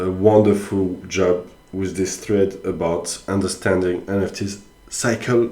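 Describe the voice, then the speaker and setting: A man speaks very slowly in a very deep, low voice with flat, monotone intonation, and the room echo is audible. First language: not English. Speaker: NFT commentator. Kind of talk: casual solo commentary. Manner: halting, many fillers.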